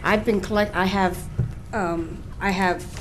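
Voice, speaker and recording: Amid noticeable background noise and audible room echo, a woman with an American accent speaks at a fairly slow pace. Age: 60s. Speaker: local business owner. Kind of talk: public hearing testimony. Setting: public hearing. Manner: halting.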